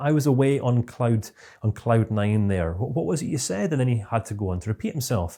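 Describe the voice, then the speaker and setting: The voice has a Scottish accent and a dark, mellow tone, somewhat breathy. It moves at a fairly quick pace with lively intonation. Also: man. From Scotland. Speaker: CBT trainer. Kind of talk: online course lecture. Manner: fast.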